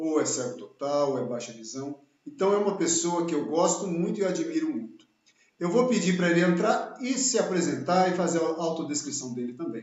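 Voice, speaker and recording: A man's high voice swings very widely in pitch while he keeps a moderate pace. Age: 60s. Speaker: channel host, engineer. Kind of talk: live video interview. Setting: home office, live stream.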